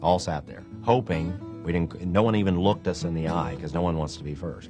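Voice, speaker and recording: Over music in the background, a man speaks at a very deep, low pitch with ordinary pitch variation. His pace is fairly quick and his loudness swings widely. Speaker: auctioneer and auction school instructor. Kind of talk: interview answer. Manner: conversational, with hesitations.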